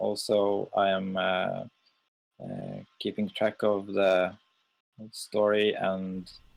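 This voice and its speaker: A man with a Norwegian accent speaks very slowly in a fairly low voice. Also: long, frequent pauses. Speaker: game server owner. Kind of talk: live stream chat. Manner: halting, many fillers.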